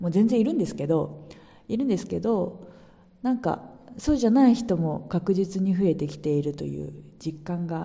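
A woman speaks at a moderate pace in a fairly low, somewhat breathy voice with a dark, mellow tone. Her intonation is lively. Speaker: podcaster. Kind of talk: casual monologue.

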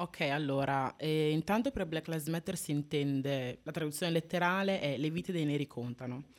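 A woman speaking at a moderate pace with hardly any pauses, her pitch very deep and low with ordinary variation, on a very clean recording with a silent background. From Italy (Modena area), foreign-born parents. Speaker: activist, university student. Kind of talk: live radio interview. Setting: radio studio.

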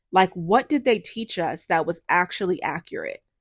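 An animated woman at a moderate pace, with very wide pitch swings, in a very clean, dry, close recording with no echo and a silent background. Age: 30s. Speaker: podcast host and beauty content creator. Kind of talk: casual solo podcast monologue.

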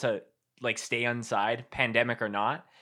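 The bright, sharp tone comes through at a moderate pace in a very clean recording with a silent background. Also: man. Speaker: podcast host and show filmer. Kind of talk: casual chat interview.

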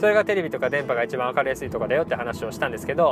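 The man's pitch swings very widely while noticeable background noise runs behind him. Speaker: cram school teacher and podcaster. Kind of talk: casual monologue. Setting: in a car. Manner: fast; animated.

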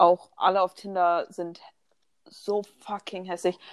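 On a very clean recording with a silent background, a woman speaks very slowly at a fairly low pitch in a monotone, flat intonation, the sound dry and close with no echo. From Germany, Bonn. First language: bilingual German and English (speaking German). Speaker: podcast co-host. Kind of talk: casual chat.

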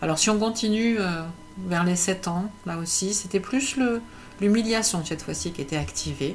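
Audible room echo around a woman's medium-pitched voice, moderate pace and ordinary pitch variation. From France, Paris. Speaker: entrepreneur and personal coach. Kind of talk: personal monologue video. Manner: hesitant, many fillers and repetitions.

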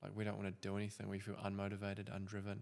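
The speaker is a man. His pitch sits fairly low. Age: 20s. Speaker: podcast host. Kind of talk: casual chat.

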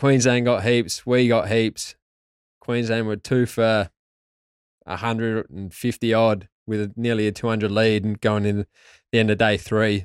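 In an Australian accent, a man speaks at a fairly slow pace and a medium pitch, his intonation monotone and flat. The sound is dry and close with no echo, and the recording is very clean against a silent background. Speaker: former test cricketer. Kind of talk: interview. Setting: studio.

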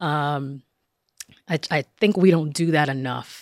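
A woman with a New Jersey accent speaks at a moderate pace in a very deep, low voice. The recording is very clean, with a silent background and a dry, close sound with no echo. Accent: New Jersey American. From northern New Jersey, Passaic. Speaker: professor. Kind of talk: interview.

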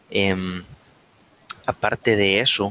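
A man talks very slowly in a very deep, low pitch with a bright, sharp tone. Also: dry, close sound with no echo. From Latin America. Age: 20s. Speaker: bar manager. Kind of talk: casual chat.

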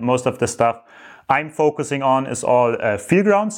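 This man speaks at a medium pitch with a German accent. His pace is moderate. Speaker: entrepreneur vlogger. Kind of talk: monthly business update vlog. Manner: halting, many fillers.

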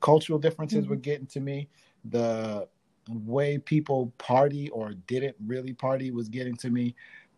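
Over a very clean recording with a silent background and a dry, close sound with no echo, a man with a New York accent speaks fairly quickly at a medium pitch, with a dark, mellow tone and ordinary pitch variation. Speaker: dancer and DJ. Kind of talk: casual interview.

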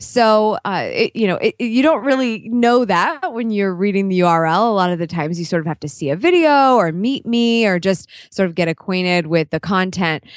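In an ordinary speaking voice, a woman at medium pitch talks at a moderate pace with lively intonation and hardly any pauses, the sound dry and close with no echo on a very clean recording against a silent background. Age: 30s. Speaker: vlogging and branding entrepreneur. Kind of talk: interview.

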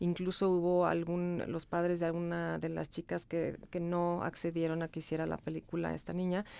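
Her dark, mellow voice sits fairly low for a woman, speaking at a moderate pace in a flat monotone with hardly any pauses, in a very clean recording with a silent background. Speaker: podcast co-host. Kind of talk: casual chat.

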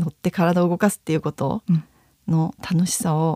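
The tone is dark and mellow, and the sound is dry and close with no echo. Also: woman. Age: 30s. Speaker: dance and fitness instructor. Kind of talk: interview.

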